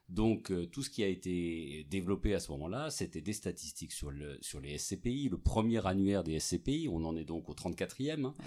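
A man's voice sits very deep and low, with very wide pitch swings. He speaks at a fairly slow pace. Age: 50s. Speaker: real estate executive. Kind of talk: interview. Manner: halting, many repetitions and fillers.

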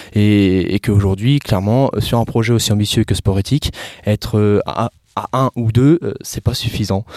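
In a dry, close recording with no echo, a man speaks at a fairly slow pace in a dark, mellow voice. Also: fairly low pitch for a man, ordinary pitch variation. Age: 20s. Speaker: entrepreneur. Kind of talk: interview. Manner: halting.

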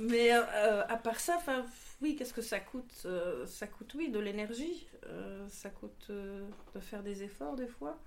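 A woman at medium pitch, very slow pace and ordinary pitch variation. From Morocco, Casablanca. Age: 40s. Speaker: bar co-manager. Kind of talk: group discussion.

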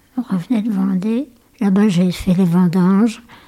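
Over noticeable background noise, a woman speaks at medium pitch with ordinary pitch variation. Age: 80s+. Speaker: great-grandmother and war-era witness. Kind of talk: casual family interview.

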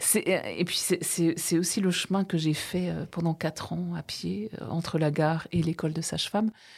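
Speaking at a very slow pace, a woman keeps a fairly low pitch and fairly even intonation. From Alsace, France (Bruche valley). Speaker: novelist, former midwife. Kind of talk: interview.

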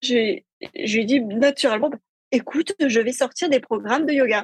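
A woman talks in a high voice. Her pitch varies in an ordinary way. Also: dry, close sound with no echo. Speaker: entrepreneur and lifestyle blogger. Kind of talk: casual interview. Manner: joyful, simple delivery.

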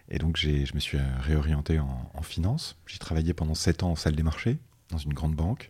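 A man talks at a moderate pace with a very deep, low pitch and fairly even intonation. His voice is somewhat breathy. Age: 30s. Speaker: finance executive. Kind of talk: interview.

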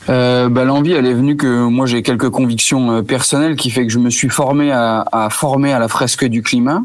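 A man with a plain, everyday voice speaks at a medium pitch and moderate pace, with fairly even intonation, very even loudness and hardly any pauses. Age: 30s. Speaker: store manager. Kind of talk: interview.

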